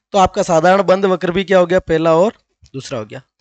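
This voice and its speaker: The voice shows ordinary pitch variation, and the sound is dry and close with no echo. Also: man. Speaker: math teacher. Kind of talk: tutorial. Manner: repetitive, explanatory.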